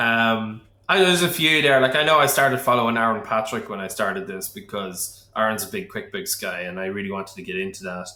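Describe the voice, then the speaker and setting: With a bright, sharp tone, a man races along at a very fast pace with hardly any pauses, very wide pitch swings and big swings in loudness, all in audible room echo. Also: medium pitch for a man. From Liverpool, England. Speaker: accountant. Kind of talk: casual chat.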